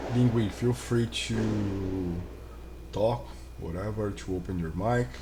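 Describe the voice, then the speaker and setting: A man speaks very slowly with a very deep, low pitch and very wide pitch swings. His tone is dark, mellow and somewhat breathy, with audible room echo. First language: not English. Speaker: blockchain security learner and streamer. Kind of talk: live stream reading technical reports. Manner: halting.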